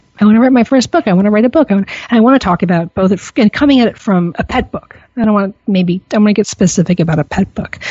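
The voice is somewhat breathy, with an animated tone. It moves at a very fast pace with lively intonation. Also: woman, medium pitch for a woman, hardly any pauses. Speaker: radio host and pet business owner. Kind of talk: casual interview.

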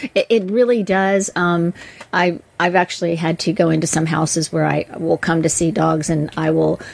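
At a moderate pace, a woman with a plain, everyday voice speaks with a fairly low pitch and fairly even intonation. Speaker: dog trainer and co-host. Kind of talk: casual chat.

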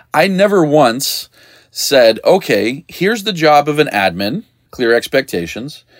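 Vocal fry colors a man's fairly high-pitched voice, with very wide pitch swings. He moves at a fairly slow pace on a very clean recording with a silent background. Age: 40s. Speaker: podcast host, dog trainer business coach. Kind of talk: solo podcast monologue. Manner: casual, conversational with frequent laughs.

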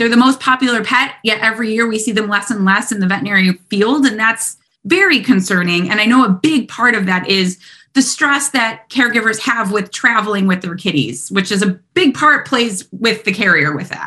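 A fairly high-pitched woman, bright and sharp in tone, at a fairly quick pace. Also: ordinary pitch variation. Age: 30s. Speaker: veterinary technician and cat behavior specialist. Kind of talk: interview.

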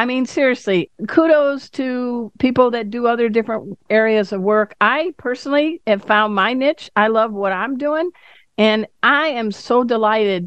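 A woman's fairly high voice, an unremarkable speaking voice, at a moderate pace with hardly any pauses and ordinary pitch variation. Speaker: radio host. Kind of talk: interview.

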